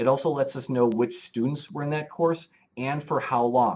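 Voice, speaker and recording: The pitch moves in an ordinary way. The speaker is a man. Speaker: webinar presenter for education data analysts. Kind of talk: webinar presentation. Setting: online webinar. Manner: fast; halting, many repetitions and fillers.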